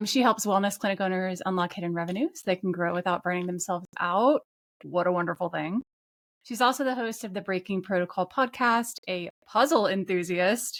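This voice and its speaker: An ordinary speaking voice from a woman, medium pitch, ordinary pitch variation, fairly quick pace. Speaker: podcast host and coach; former physical therapist turned coach. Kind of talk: podcast intro. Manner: upbeat.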